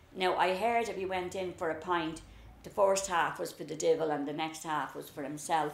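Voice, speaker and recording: A woman with a Dublin accent, fairly low pitch, fairly even intonation and a moderate pace, with audible room echo. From Dublin, Ireland (the Liberties). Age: 70s. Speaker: storyteller recalling childhood. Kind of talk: casual reminiscing conversation.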